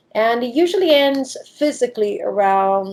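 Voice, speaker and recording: A woman speaks at a fairly slow pace. Her tone is dark and mellow. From Italy. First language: Italian. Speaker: diving professional and shark expert. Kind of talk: interview.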